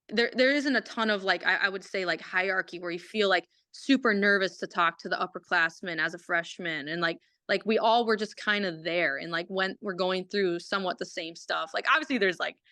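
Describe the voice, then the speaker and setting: Against a quiet background, a woman with a slight Minnesotan accent speaks at a fairly quick pace in a bright, sharp tone. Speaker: college hockey player. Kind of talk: casual chat. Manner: halting.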